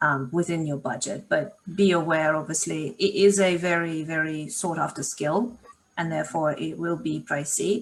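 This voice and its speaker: A woman's fairly low voice with a non-native accent. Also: ordinary pitch variation, moderate pace. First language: not English. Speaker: marketing consultant. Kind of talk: live Q&A session. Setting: video call.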